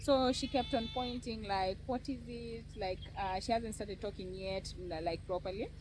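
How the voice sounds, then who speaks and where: A woman's medium-pitched voice with ordinary pitch variation, music in the background. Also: moderate pace. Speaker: cancer survivor and content creator. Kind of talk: personal testimony in an interview.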